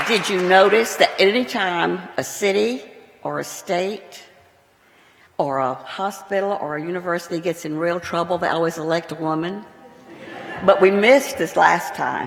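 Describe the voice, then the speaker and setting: A woman with an American accent, fairly low in pitch, with lively intonation at a moderate pace, amid noticeable background noise and audible room echo. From Texas. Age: 80s+. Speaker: retired television producer and lecture sponsor. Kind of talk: public speech.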